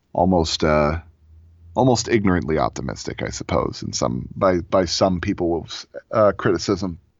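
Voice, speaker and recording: A man with an American accent speaks at a moderate pace in a very deep, low pitch with vocal fry. His intonation is lively. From Florida, US. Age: 30s. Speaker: audio drama creator. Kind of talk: personal storytelling.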